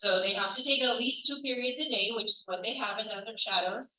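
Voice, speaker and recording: Ordinary pitch variation from a woman speaking. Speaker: dual language education expert. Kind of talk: presentation to parents. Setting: school parent night.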